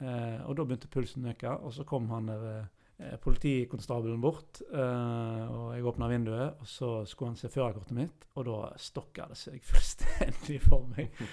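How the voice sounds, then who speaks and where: Speaking at a moderate pace with hardly any pauses, a man uses a medium-pitched, dark, mellow voice, fairly even intonation and big swings in loudness. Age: 30s. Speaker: podcast co-host living with anxiety. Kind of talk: casual chat.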